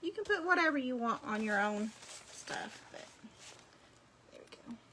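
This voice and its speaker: A woman's high, raised, projected voice at a moderate pace, with very wide pitch swings and big swings in loudness over noticeable background noise. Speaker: crafting video creator. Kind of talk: craft tutorial livestream. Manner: casual, chatty.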